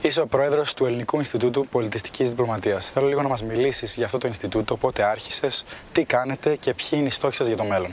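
Noticeable background noise sits under a man's voice. He speaks at a very fast pace with medium pitch and ordinary pitch variation. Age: 20s. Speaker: podcast host. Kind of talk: interview.

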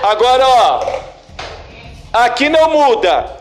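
Sounding animated, a man speaks with audible room echo around him. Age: 40s. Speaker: philosophy teacher. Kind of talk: classroom lesson. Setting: classroom with students.

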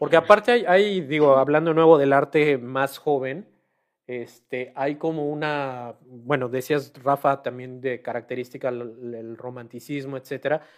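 A man with a normal speaking voice, fairly high in pitch and fairly slow, with ordinary pitch variation and big swings in loudness. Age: 40s. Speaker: painter. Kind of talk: panel debate.

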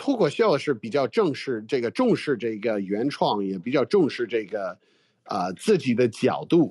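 Against a quiet background, a man talks at a moderate pace. His pitch sits in the medium range but makes very wide swings. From United States. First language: English (speaking Chinese). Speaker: comedian. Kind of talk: casual interview. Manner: halting, with fillers.

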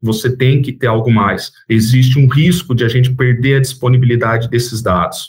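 A man speaks at a medium pitch, his voice somewhat breathy and his intonation fairly even. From Brazil, Campinas area (São Paulo state). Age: 40s. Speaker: startup founder and CEO. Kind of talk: interview.

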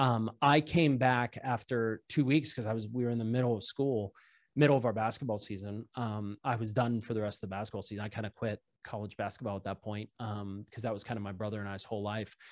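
Here a man talks very fast at a medium pitch, with an American accent. The recording sounds dry and close, with no echo. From Pittsburgh, US. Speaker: biotech startup founder. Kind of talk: casual interview.

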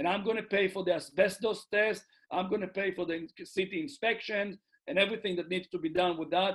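This man talks at a fairly quick pace with an Israeli accent. His pitch is high for a man, and his intonation stays fairly even. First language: Hebrew. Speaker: real estate investor. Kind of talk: interview. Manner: halting.

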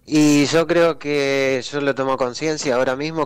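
This man speaks in a monotone, with flat intonation. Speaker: Paralympic judo athlete. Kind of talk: interview.

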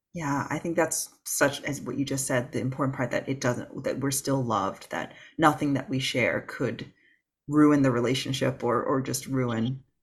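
A man at medium pitch speaks at a moderate pace with fairly even intonation and a somewhat breathy quality, on a very clean recording with a silent background. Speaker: podcast host, former doctor. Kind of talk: casual interview.

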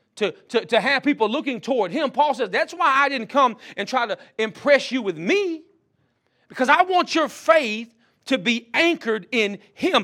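In a very clean recording with a silent background, a man with a Mississippi accent uses a raised, projected voice at an extremely high pitch, with a bright, sharp tone, very wide pitch swings and a moderate pace. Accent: Southern US (Mississippi). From Mississippi, US South. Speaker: pastor and seminary dean. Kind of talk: sermon. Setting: college chapel.

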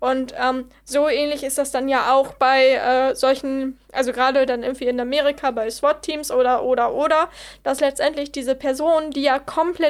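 On a very clean recording with a silent background, a woman with a high pitch talks at a moderate pace with fairly even intonation. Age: 20s. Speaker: psychology student. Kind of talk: casual chat.

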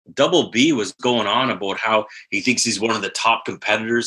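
The voice has a bright, sharp tone and a moderate pace, delivered with a Southwestern Ontario accent. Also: man. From Southwestern Ontario, Canada. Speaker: fantasy football podcast co-host. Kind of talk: casual chat. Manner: animated.

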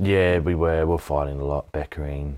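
A man with an Australian accent speaks at a very deep, low pitch in a very clean recording with a silent background. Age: 20s. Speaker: mental health advocate, former mine worker. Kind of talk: interview testimony.

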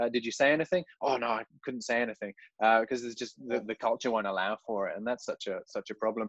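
In a dry, close sound with no echo, a man talks at a very fast pace with fairly even intonation. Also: medium pitch for a man, hardly any pauses. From English Midlands. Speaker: teacher and podcast host. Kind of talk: casual interview.

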